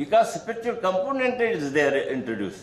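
With an Indian accent, a man talks with very wide pitch swings in a room with audible echo. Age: 80s+. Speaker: religious leader and founder of a school charity. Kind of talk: conference speech. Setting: stage with audience. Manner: halting. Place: meeting room. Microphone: podium.

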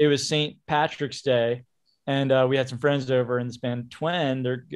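A man's medium-pitched voice with an American accent, monotone and flat at a moderate pace. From Baltimore, US. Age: 30s. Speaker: indie rock musician. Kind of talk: casual chat.

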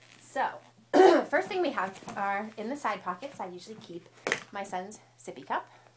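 A woman speaks at a moderate pace, with noticeable background noise around her. Her fairly high voice shows very wide pitch swings and big swings in loudness. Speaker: mom vlogger. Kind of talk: casual talk to camera.

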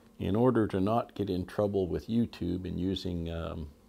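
A man speaks with a very deep, low pitch and a dark, mellow tone. His pitch varies in an ordinary way, and his pace is moderate. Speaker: hobby channel host. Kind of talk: casual vlog chat. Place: workshop.

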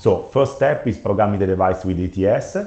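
A man talks at a moderate pace in a fairly low pitch. His tone is dark and mellow, and somewhat breathy. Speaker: product manager. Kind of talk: webinar presentation. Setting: online webinar. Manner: halting, many fillers.

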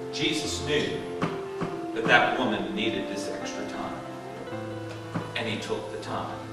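Loud music plays in the background, and audible room echo surrounds a man. He speaks at a fairly slow pace with long, frequent pauses. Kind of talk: sermon. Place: church.

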